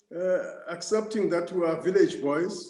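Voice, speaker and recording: A man talks at a very slow speed, his voice carrying audible room echo. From South Africa, Eastern Cape (Transkei). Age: 60s. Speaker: ambassador. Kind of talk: interview. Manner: halting, many fillers.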